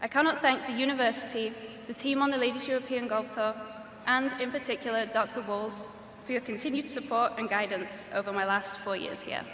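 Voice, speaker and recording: With audible room echo and noticeable background noise, a woman speaks at a fairly high pitch and a fairly quick pace, her intonation fairly even. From Wales. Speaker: graduating student speaker. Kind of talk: commencement speech. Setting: graduation ceremony stage with audience.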